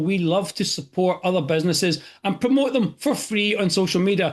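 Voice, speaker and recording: A man with a Scottish accent talks at a fairly quick pace in a high voice. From Scotland. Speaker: expense reduction franchise owner. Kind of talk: interview host questions.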